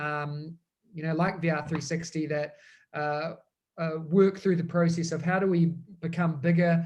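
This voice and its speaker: A man with a strong New Zealand accent talks at a fairly slow pace in a high voice. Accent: thick New Zealand. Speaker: education technology consultant. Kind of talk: webinar presentation.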